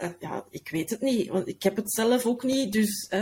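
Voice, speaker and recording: A woman's voice at a fairly slow pace with ordinary pitch variation, amid noticeable background noise. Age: 40s. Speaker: podcast manager. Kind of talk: casual interview. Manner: halting.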